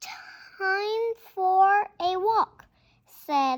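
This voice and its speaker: A put-on character voice with lively intonation. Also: woman, extremely high pitch for a woman. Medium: read story.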